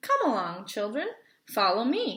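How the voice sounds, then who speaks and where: A female-sounding, put-on character voice speaks at a moderate pace. The pitch sits fairly high. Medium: read story.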